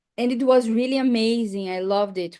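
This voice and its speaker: A woman in a Portuguese accent, dark and mellow in tone, at a fairly quick pace with ordinary pitch variation and a quiet background. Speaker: English teacher. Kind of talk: casual chat.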